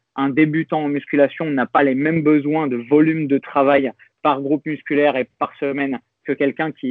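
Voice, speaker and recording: A man's fairly high voice at a moderate pace, with monotone, flat intonation. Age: 30s. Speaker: fitness coach and youtuber. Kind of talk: interview conversation.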